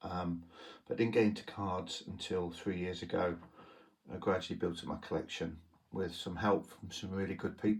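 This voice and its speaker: Speaking with a British accent, a man talks at a fairly low pitch and a moderate pace, his intonation fairly even. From UK. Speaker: trading card collector, YouTuber. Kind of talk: casual show-and-tell monologue. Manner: hesitant, many fillers.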